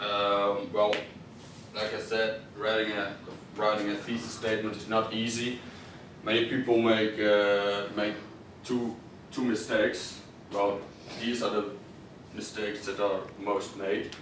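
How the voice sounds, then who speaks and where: A fairly low-pitched man, monotone and flat, at a fairly slow pace with long, frequent pauses, over noticeable background noise and audible room echo. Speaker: student presenter. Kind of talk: class presentation. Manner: halting.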